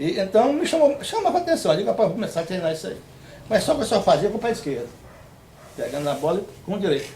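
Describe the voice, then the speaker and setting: A man with a high pitch speaks at a very fast pace, broken by long, frequent pauses, with very wide pitch swings, audible room echo and noticeable background noise. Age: 70s. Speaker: retired futsal player. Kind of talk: interview. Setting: on a rural farm property. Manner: halting.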